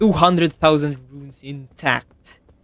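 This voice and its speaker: Over background music, a man with a fairly high voice talks at a fairly slow pace. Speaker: gaming streamer. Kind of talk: live gameplay commentary.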